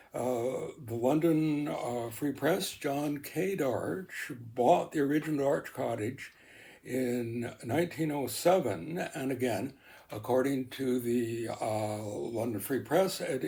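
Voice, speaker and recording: Very slow and somewhat breathy, a man with a Canadian accent speaks in a dark, mellow tone at a medium pitch with lively intonation. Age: 80s+. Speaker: interviewee on local history. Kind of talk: oral history interview. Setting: at home by the lake. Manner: halting, many fillers.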